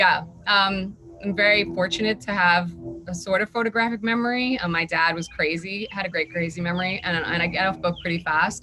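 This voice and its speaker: Against noticeable background noise, a woman speaks at a fairly quick pace and a medium pitch. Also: ordinary pitch variation. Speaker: actress. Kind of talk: interview. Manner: fast.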